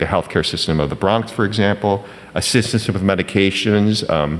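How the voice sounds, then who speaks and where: Noticeable background noise surrounds a man with a very deep, low pitch. He talks fairly quickly with ordinary pitch variation. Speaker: physician and health services provider. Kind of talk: panel presentation. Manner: halting, many fillers.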